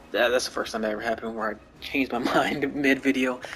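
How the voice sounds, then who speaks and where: A man speaks with music playing in the background. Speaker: gaming YouTuber. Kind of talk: casual gaming commentary over gameplay. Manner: casual, hesitant with fillers.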